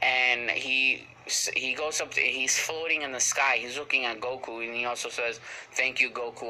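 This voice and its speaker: Moderate pace and medium pitch from a man, with noticeable background noise. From Puerto Rican heritage. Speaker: anime reviewer. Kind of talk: casual episode review recap. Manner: halting, many fillers.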